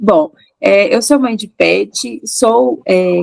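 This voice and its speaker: Her fairly high voice swings very widely in pitch as the woman speaks. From Minas Gerais, Brazil. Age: 30s. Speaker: podcast co-host, lawyer. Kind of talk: casual chat.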